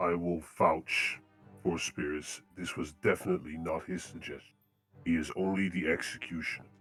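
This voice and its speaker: A man puts on a character voice, very deep and low-pitched, at a moderate pace. Faint music plays in the background. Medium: actual play. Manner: hesitant, placating.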